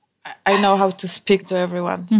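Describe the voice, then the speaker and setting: With a Polish accent, a woman speaks at a medium pitch. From Poland, mountain village. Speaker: pastry chef. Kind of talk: casual interview.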